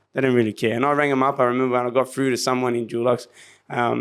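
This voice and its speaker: Very fast speech from a man with an Australian accent. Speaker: martial arts instructor and business owner. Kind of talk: interview storytelling. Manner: animated.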